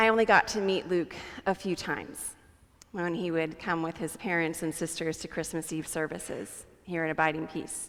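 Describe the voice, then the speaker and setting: At a moderate pace, a woman with an ordinary speaking voice talks in a fairly low pitch with fairly even intonation. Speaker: pastor. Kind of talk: memorial sermon. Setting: church.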